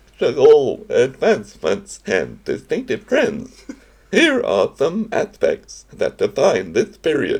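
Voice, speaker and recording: A man uses a breathy, put-on character voice at a fairly slow pace. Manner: breathy, inhaled speech.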